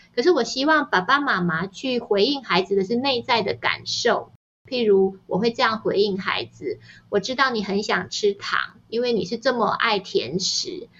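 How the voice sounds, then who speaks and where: The delivery moves at a moderate pace, with lively intonation. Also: woman, fairly high pitch for a woman. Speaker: novelist and parenting author. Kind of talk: interview conversation. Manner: gentle and even-paced.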